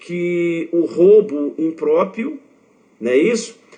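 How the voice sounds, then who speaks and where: A man is shouting at a very slow pace. His intonation is lively. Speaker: law exam prep teacher. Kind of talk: lecture. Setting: online live stream. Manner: shouts for emphasis; animated.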